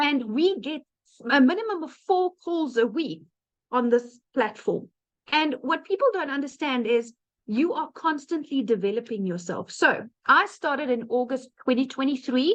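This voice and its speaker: A high-pitched woman's voice with very wide pitch swings and a South African accent. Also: moderate pace. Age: 30s. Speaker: online business presenter. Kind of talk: webinar testimony. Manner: casual with fillers.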